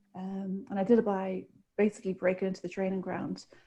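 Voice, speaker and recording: The speaker talks at a fairly quick pace with an Irish accent, in a dark, mellow, somewhat breathy tone. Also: woman. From Republic of Ireland. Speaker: sports director, former boxer. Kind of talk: interview.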